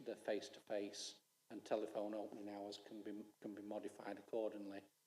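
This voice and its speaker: The delivery is monotone and flat at a fairly quick pace. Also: man. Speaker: council officer presenting to councillors. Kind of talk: council committee presentation and Q&A. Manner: halting, many repetitions.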